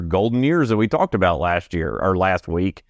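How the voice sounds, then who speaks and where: A man with a plain, everyday voice talks at a fairly quick pace with lively intonation against a quiet background. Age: 40s. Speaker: radio co-host. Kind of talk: casual radio chat.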